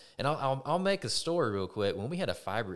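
A man with a Texan accent talks at a very fast pace with lively intonation. The recording is very clean, the background silent. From Texas. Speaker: electric co-op vice president of member services. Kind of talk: casual chat.

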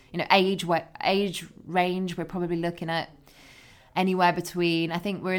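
A woman speaks in a fairly low pitch with a monotone, flat intonation, on a very clean recording with a silent background. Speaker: sports broadcaster. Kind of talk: casual interview. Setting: office.

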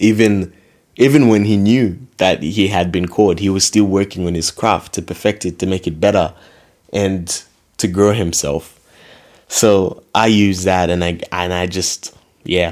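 A man speaks slowly, with a very deep, low voice and fairly even intonation. The recording is very clean, with a silent background. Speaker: faith podcast host. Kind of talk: personal reflection monologue. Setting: solo recording. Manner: relaxed, casual.

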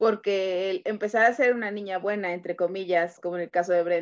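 In a plain, everyday voice, a woman talks at a moderate pace and medium pitch with fairly even intonation. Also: quiet background. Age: 30s. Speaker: podcast co-host. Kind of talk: casual chat.

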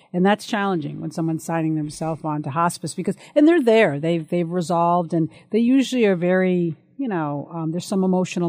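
This woman has an unremarkable speaking voice, fairly low in pitch with ordinary variation. She talks at a fairly quick pace against a quiet background. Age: 50s. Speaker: senior living specialist. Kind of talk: casual chat.

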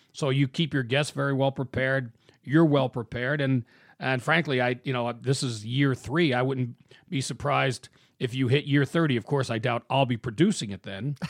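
A man at a medium pitch uses an ordinary speaking voice with fairly even intonation, in a dry, close sound with no echo on a very clean recording with a silent background. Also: moderate pace. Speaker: podcast producer and announcer. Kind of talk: scripted narration.

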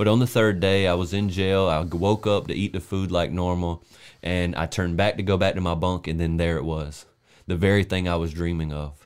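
Very deep, low male voice with a Southern US accent, fairly quick and fairly even in intonation, on a very clean recording with a silent background. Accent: Southern American. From US South, South Carolina. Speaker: podcast co-host, preacher. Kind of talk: casual chat; testimony.

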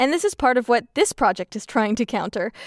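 A woman's fairly high-pitched voice on a very clean recording with a silent background, its sound dry and close with no echo. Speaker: podcast host and graduate student. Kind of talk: scripted narration about podcasts, reflective.

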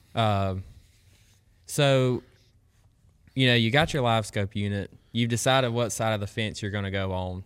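A man with a Southern US accent speaks at a moderate pace and medium pitch, with ordinary pitch variation and long, frequent pauses, on a very clean recording with a silent background. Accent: US South. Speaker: collegiate angler. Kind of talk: casual chat.

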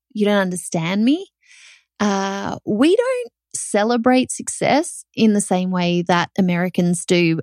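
A woman speaks at medium pitch and a fairly slow pace with very even loudness. The sound is dry and close, with no echo. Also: ordinary pitch variation. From Australia. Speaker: podcast host, online business owner. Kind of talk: solo podcast monologue, casual and conversational. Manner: animated, conversational.

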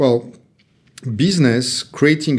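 A man with a French accent, fairly even intonation and a fairly slow pace, in a very clean recording with a silent background. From France, Paris area. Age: 50s. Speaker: serial entrepreneur. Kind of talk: casual interview. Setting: in-person studio recording.

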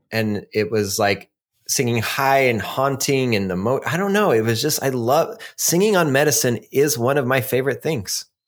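Speaking in a normal speaking voice at a moderate pace, a man keeps a medium pitch and very even loudness. His intonation is lively, and the recording is very clean with a silent background. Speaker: podcast host. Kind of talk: casual chat, storytelling podcast. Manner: casual, laughs often, profane.

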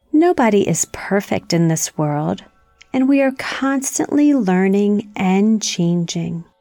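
A woman's medium-pitched, calm, soothing voice at a very slow pace, with very wide pitch swings, very even loudness and music in the background. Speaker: meditation guide for children. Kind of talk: guided meditation. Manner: slow, calm, soothing, gently paced with long pauses.

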